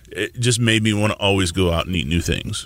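Using an ordinary speaking voice, a man with an American accent talks at a fairly quick pace, fairly low in pitch, with lively intonation. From Tulsa, Oklahoma. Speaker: chef. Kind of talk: casual interview.

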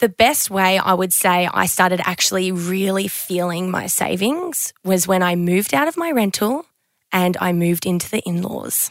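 A woman with an Australian accent, medium-pitched, at a moderate pace, with ordinary pitch variation. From Queensland, Australia. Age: 20s. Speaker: podcast host. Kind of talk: casual chat.

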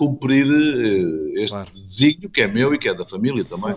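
The man has an ordinary speaking voice at a medium pitch. He talks at a moderate pace. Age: 50s. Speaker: mayor and party politician. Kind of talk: interview.

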